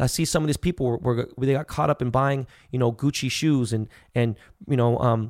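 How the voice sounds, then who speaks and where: A man talks at a fairly quick pace and medium pitch in a normal speaking voice. The sound is dry and close with no echo, the recording very clean over a silent background. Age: 40s. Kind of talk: casual chat.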